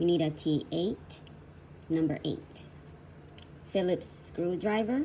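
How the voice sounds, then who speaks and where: Speaking at a very slow pace with long, frequent pauses, a woman with a Puerto Rican accent has a fairly low pitch, a dark, mellow, somewhat breathy tone and ordinary pitch variation. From Puerto Rico. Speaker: crafter, online shop owner. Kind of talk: DIY repair tutorial. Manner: shy.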